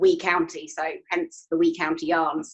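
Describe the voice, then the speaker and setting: With an English accent, a woman speaks at a moderate pace. Her intonation is lively. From England. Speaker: yarn and kit business owner. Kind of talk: casual interview chat.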